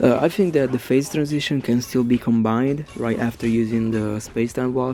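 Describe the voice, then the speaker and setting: Over noticeable background noise, a man with an Italian accent talks at a moderate pace with hardly any pauses. His pitch is medium and his intonation fairly even. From Italy. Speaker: gaming YouTuber. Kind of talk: commentary on game. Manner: halting, many fillers.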